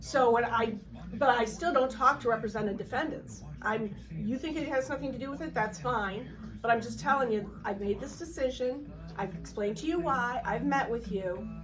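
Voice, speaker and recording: Vocal fry runs through the voice at a moderate pace with ordinary pitch variation. Audible room echo fills the recording. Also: woman, fairly high pitch for a woman. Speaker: city prosecutor. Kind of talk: confrontation with a member of the public. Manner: loud; formal.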